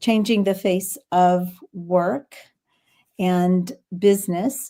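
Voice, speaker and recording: A woman speaks in a Texas accent at a medium pitch. Her tone is dark and mellow, and her intonation fairly even. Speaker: business founder and show host. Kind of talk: live stream interview. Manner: halting.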